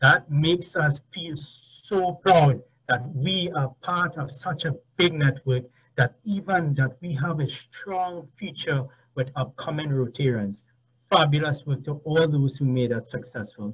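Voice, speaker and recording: A man talks at a fairly slow pace with a fairly high pitch. His pitch varies in an ordinary way over a quiet background. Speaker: event committee member. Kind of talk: vote of thanks. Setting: video call. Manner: animated. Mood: warm, appreciative. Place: home room. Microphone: video call.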